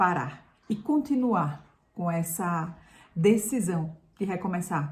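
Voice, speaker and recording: Lively intonation at a very slow pace. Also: woman. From Brazil, Pernambuco interior. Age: 50s. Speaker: lifestyle youtuber, former journalist. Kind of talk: personal vlog storytelling.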